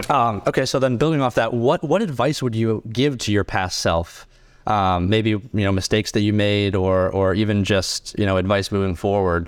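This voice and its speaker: In a very clean recording with a silent background, a man with a normal speaking voice talks at a moderate pace in a fairly low pitch, with ordinary pitch variation and very even loudness. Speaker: podcast host, college student. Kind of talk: casual interview chat.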